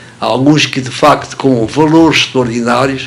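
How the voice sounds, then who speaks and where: Noticeable background noise accompanies a man whose pace is fairly slow. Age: 80s+. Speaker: retired local benefactor, pharmacy sponsor. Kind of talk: radio interview. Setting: radio studio. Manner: hesitant, many fillers.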